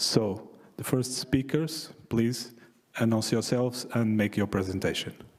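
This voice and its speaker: A man with a Portuguese accent, medium pitch, ordinary pitch variation, a fairly slow pace and very even loudness. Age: 60s. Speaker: session chair, naval architect. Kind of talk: conference talk. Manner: halting.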